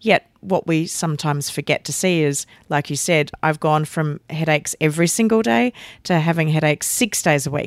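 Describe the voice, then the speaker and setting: A woman's very deep, low voice at a moderate pace, with very even loudness, ordinary pitch variation and a dry, close sound with no echo. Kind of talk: interview conversation. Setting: in person, Los Angeles.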